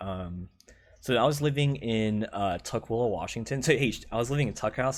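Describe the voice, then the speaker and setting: A man speaks at a medium pitch and a moderate pace, with an animated tone. The recording is very clean, with a silent background. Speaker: gamer and streamer telling stories. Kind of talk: casual storytelling monologue. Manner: filler-heavy, says like a lot; casual, animated.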